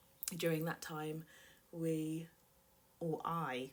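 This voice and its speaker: A woman with a British accent speaks at a very slow pace in a fairly low pitch. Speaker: personal finance vlogger. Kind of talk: vlog confession. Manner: slightly unnatural, self-conscious.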